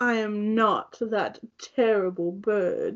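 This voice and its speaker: A put-on character voice that sounds female, pitched fairly high for a woman, drawls along at a very slow pace. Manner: indignant, prim.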